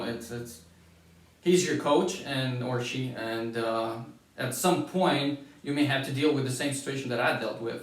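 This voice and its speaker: A man with a Lithuanian accent and a fairly high pitch, speaking fairly slowly amid audible room echo. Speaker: former college basketball player. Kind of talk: interview. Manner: halting.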